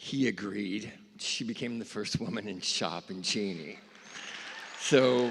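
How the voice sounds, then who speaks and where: Noticeable background noise sits behind a man's fairly low voice. He speaks with ordinary pitch variation and long, frequent pauses. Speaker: newspaper editor. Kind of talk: memorial speech. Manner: halting.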